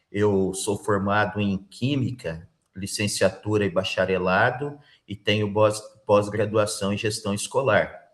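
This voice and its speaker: This is a normal speaking voice from a man, pitched fairly low. He talks at a fairly slow pace with fairly even intonation. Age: 50s. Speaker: school principal, job interview candidate. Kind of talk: job interview.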